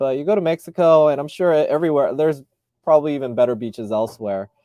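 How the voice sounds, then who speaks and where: Dry and close with no echo, a man's dark, mellow voice carries an American accent and lively intonation. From US, Southern California. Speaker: YouTube vlogger. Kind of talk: casual live stream Q&A. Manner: hesitant, many fillers and repeats.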